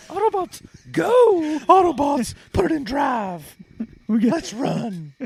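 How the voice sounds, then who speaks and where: A put-on character voice crawls along at a very slow pace, pitched high with very wide pitch swings. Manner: commanding, heroic.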